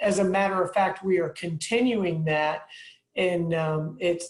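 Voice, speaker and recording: A woman's somewhat breathy voice in an American accent, fairly low in pitch, at a moderate pace with fairly even intonation. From Tampa, Florida. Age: 60s. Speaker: city mayor. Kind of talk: speech to community group.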